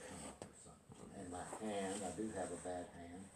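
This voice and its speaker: A man's very deep, low-pitched voice with audible room echo. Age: 70s. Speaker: golf student. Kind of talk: casual conversation.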